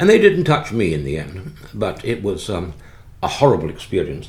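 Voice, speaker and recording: Moderate pace, with noticeable background noise and audible room echo. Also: man. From England (born London, moved out after the Blitz). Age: 70s. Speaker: retired neurologist and pilgrim walker. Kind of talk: interview about travel experiences. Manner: halting, many fillers and restarts.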